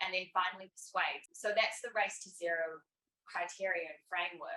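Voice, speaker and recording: The speaker has a New Zealand accent and talks at a moderate pace. Music plays in the background. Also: woman. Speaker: climate campaign representative. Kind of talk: panel discussion.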